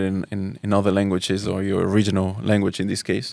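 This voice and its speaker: Recorded very cleanly against a silent background, a man speaks with a Spanish accent at a fairly low pitch. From Spain, Barcelona. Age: 30s. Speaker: Islamic teacher. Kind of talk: podcast interview. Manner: halting, many repeated words.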